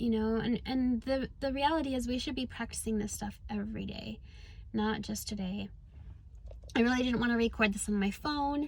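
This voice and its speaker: Music plays in the background as a woman speaks at a moderate pace. Her pitch is fairly high and her intonation fairly even. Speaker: spiritual coach and vlogger. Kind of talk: casual vlog monologue. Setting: in a car. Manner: hesitant with fillers.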